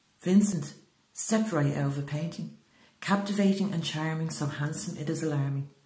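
Speaking at a moderate pace, a woman uses a very deep, low pitch with ordinary pitch variation. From Ireland. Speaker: poet. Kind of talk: spoken word poetry reading.

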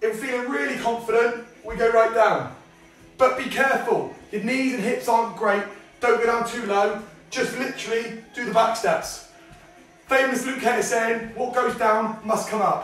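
Faint music sits behind a man whose pitch is extremely high, delivered at a moderate pace with fairly even intonation and audible room echo. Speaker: fitness instructor. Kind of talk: tutorial. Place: home room. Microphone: camera far.

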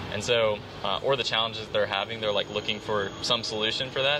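The speech comes at a very fast pace with ordinary pitch variation. Noticeable background noise sits behind it. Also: man. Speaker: guest. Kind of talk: interview answer.

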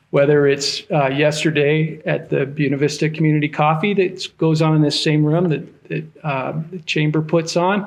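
This man has a fairly high pitch and a monotone, flat intonation. He keeps a moderate pace with hardly any pauses. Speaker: county commissioner. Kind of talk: public meeting remarks. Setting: community meeting room with audience. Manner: soft-spoken.

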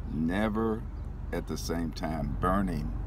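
A man speaks with a very deep, low pitch. The sound is dry with no echo, and background noise is noticeable. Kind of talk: tutorial. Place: car. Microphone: phone near.

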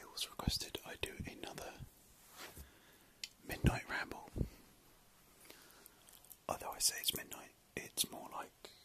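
A man speaks in a whisper. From British. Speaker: ASMR creator. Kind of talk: ASMR late-night ramble. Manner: whispered; soft-spoken. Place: home room. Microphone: phone near.

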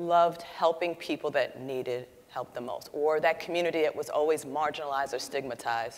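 A woman is speaking. Her pitch is fairly low. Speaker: panelist. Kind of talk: panel discussion answer. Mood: earnest, reflective. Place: hall. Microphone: lapel.

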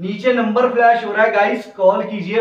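A high-pitched man's voice with audible room echo.

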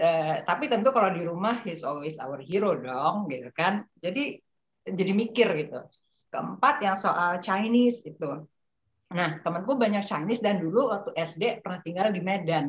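A somewhat breathy voice speaks at a moderate pace with lively intonation. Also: woman, medium pitch for a woman. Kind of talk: group discussion. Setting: video call.

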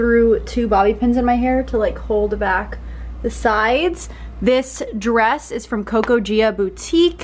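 A woman at a fairly slow pace over light background noise. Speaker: lifestyle vlogger. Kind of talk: casual vlog chat. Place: home room. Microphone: phone near.

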